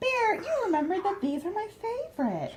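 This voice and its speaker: Putting on a squeaky character voice, a woman speaks at an extremely high pitch and a fairly quick pace with very wide pitch swings. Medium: read story.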